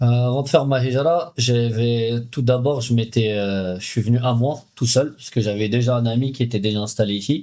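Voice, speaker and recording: A man with a medium pitch and a dark, mellow tone, fairly even intonation, a moderate pace and hardly any pauses, on a very clean recording with a silent background. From France, Paris. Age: 30s. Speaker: emigrant interviewee. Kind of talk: podcast interview. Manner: hesitant.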